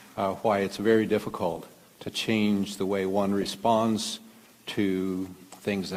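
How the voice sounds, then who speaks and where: This man has a Midwestern American accent and a fairly low pitch. He talks at a fairly slow pace in a monotone, flat intonation. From Kansas, US Midwest. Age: 70s. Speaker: physician and conference speaker. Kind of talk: lecture. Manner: halting, many fillers.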